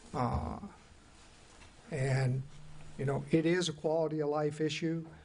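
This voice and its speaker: A man with a fairly high pitch speaks somewhat breathy at a fairly slow pace, his intonation fairly even. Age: 60s. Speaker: city commissioner. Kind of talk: public meeting discussion. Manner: halting.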